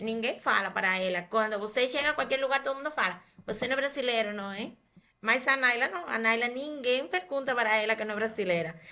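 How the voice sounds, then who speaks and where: Bright and sharp in tone, a woman's fairly high voice moves at a fairly quick pace with ordinary pitch variation. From Cuba. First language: Spanish (speaking Portuguese). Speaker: doctor. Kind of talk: podcast interview.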